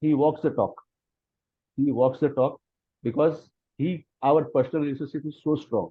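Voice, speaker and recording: A man with an Indian accent speaks with fairly even intonation. His pauses are long and frequent. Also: fairly high pitch for a man, moderate pace. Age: 50s. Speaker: friend of the author. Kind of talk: testimony.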